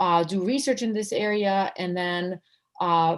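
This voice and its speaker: A woman speaks with a slight Serbian accent. Her pitch is fairly low. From Serbia, former Yugoslavia. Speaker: law professor. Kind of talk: interview. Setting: video call.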